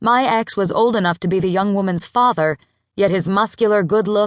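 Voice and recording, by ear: The voice is reading aloud in a natural voice. The background is quiet.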